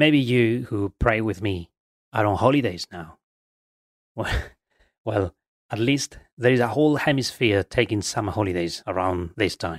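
In a very clean, silent, dry and close recording with no echo, a man with a fairly low voice speaks at a moderate pace with ordinary pitch variation and long, frequent pauses. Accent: Spanish. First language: Spanish. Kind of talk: guided meditation.

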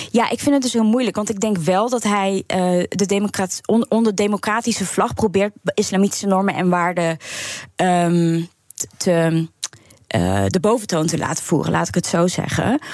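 At a moderate pace, a woman of medium pitch speaks with ordinary pitch variation and very even loudness. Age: 30s. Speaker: documentary maker. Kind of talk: radio interview. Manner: hesitant.

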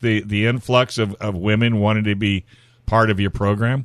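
A man speaks in a normal speaking voice at medium pitch. His pace is moderate, and the background is quiet. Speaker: radio host. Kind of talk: casual radio interview. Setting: radio studio.

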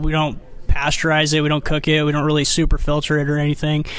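A man with an American accent talks fairly quickly at a fairly high pitch. Noticeable background noise is present. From Armenia, raised partly in California. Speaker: honey company chief executive. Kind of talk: interview. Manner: hesitant, many fillers and repeats.

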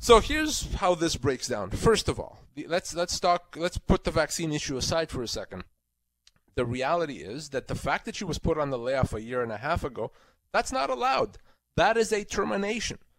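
Vocal fry runs through speech delivered at a fairly quick pace with very wide pitch swings. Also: man, fairly high pitch for a man. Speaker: employment lawyer. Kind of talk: legal advice call-in.

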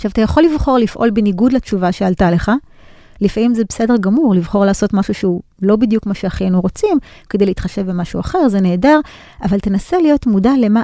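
With a dark, mellow tone at medium pitch, a woman speaks at a fairly quick pace with lively intonation in a dry, close sound with no echo. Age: 40s. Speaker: business lecturer and consultant. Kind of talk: interview.

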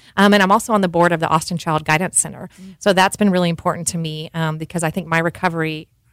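A woman with an American accent speaks in a monotone, flat intonation. The recording is very clean and silent behind her, dry and close with no echo. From North Texas. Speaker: cheese shop owner. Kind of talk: casual interview. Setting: studio.

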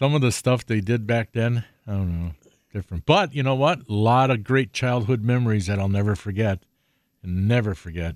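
A man with an American accent and a plain, everyday voice speaks at a moderate pace in a fairly low pitch with ordinary pitch variation. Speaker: outdoors radio host. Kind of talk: live radio talk show. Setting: radio studio.

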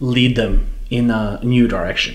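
Noticeable background noise and audible room echo surround a man who speaks at a fairly slow pace. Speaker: foreign correspondent. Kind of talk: panel discussion. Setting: press club.

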